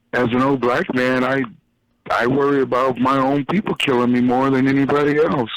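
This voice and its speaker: In a normal speaking voice, a man at medium pitch talks at a fairly quick pace with fairly even intonation and very even loudness. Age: 50s. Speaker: caller. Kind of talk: casual chat.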